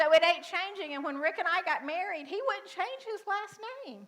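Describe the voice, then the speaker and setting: In a Southern US accent, a woman speaks at a moderate pace in a raised, projected voice. Her tone is bright and sharp, and her intonation is lively. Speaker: pastor. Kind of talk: sermon. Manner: casual, conversational.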